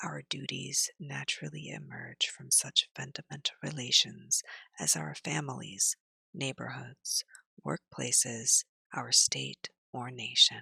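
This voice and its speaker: Whispering in a soothing, calm tone at a fairly slow pace, a woman's loudness swings widely in a dry, close sound with no echo. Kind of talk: soothing ASMR reading for sleep.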